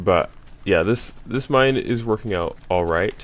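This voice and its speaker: Very slow speech from a man amid noticeable background noise. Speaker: gaming video creator. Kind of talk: gameplay commentary. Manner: halting, many fillers; casual.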